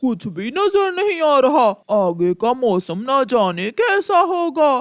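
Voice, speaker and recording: A cartoonish character voice with a high pitch goes along at a fairly slow pace. Its pitch swings very widely. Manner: brash, dismissive of warnings.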